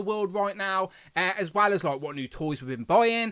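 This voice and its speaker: Speaking at a fairly quick pace, a man with a West Midlands accent uses a high pitch and ordinary pitch variation. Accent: English, Coventry. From England, Coventry. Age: 30s. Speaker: toy review youtuber. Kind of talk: live stream casual chat. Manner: fast.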